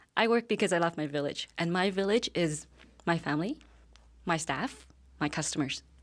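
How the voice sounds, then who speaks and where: A woman with a Vietnamese accent, fairly low pitch and ordinary pitch variation, at a moderate pace with long, frequent pauses, on a very clean recording with a silent background. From Vietnam, moved to Calgary as a girl. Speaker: business owner. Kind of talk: interview. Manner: hesitant, with fillers.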